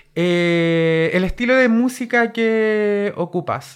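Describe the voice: A woman speaks with ordinary pitch variation.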